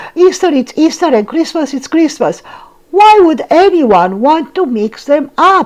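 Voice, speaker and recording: Putting on a squeaky character voice, a woman speaks at a high pitch and a moderate pace with very wide pitch swings. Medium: read story. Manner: emphatic, dramatic.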